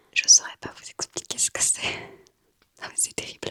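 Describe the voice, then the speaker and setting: A woman whispers, the sound dry and close with no echo. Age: 20s. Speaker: ASMR creator. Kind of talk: ASMR gift show-and-tell. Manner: whispered.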